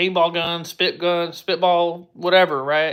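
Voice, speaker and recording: The intonation is monotone and flat in a very clean recording with a silent background. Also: man. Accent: American. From Texas. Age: 20s. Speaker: livestreamer, Army veteran. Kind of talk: casual livestream chat. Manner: casual, halting with fillers.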